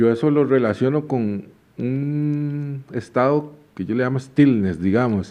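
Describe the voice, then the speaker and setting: The speaker talks at a very slow pace with a Costa Rican accent. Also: man, medium pitch for a man, ordinary pitch variation. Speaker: podcast host. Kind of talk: casual chat.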